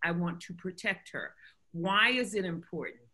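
In an American accent, the speaker talks at a moderate pace with a bright, sharp tone and ordinary pitch variation, in a quiet background. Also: woman. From US South, North Carolina. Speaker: physician and health foundation director. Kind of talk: interview. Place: home room. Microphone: webcam.

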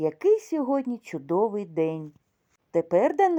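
An unforced reading voice is heard. Behind it, the background is quiet.

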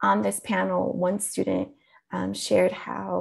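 The background is quiet. A woman talks with an American accent. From Colombia, then US. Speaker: teacher and keynote speaker; teacher, keynote speaker. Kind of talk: keynote talk. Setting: video call to a lecture hall. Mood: warm, earnest.

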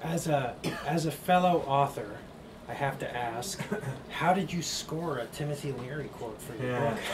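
Long, frequent pauses mark the speech, with noticeable background noise behind it. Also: man. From Hawaii. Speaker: neuroscientist and interviewer. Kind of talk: onstage conversation. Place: shop. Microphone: camera far.

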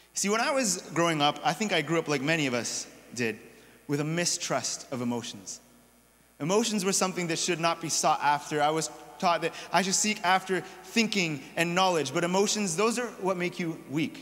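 A man speaks at a moderate pace. His intonation is lively. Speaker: pastor or preacher. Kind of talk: sermon. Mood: personal, reflective storytelling. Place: church.

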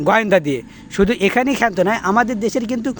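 The tone of this man's voice is animated. His pitch shifts in an ordinary way. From Bangladesh. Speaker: political commentator. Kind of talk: political rant.

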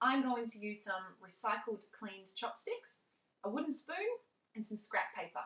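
There is audible room echo as a woman speaks at a moderate pace. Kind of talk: tutorial. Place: home room.

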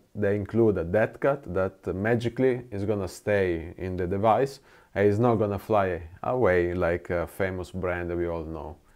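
A man with a fairly low pitch talks at a moderate pace and with ordinary pitch variation over a quiet background. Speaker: gear reviewer. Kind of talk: product review talk. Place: studio. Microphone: lapel.

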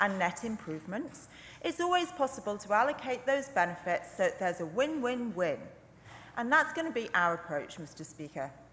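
A woman at a moderate pace, with very wide pitch swings. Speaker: legislator in debate. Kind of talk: parliamentary speech. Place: hall. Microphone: podium.

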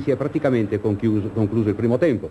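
This man's voice has a somewhat breathy quality. He talks at a fairly quick speed. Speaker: sports reporter, match commentator. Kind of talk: 1970s sports newsreel, live match commentary over footage. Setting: stadium link-up, remote. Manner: brisk, earnest, crisp play-by-play.

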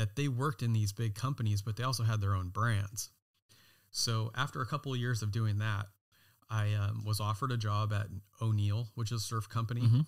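A man with an American accent speaks fairly quickly at a medium pitch, somewhat breathy, his intonation fairly even. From California. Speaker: designer and knife brand founder. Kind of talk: interview.

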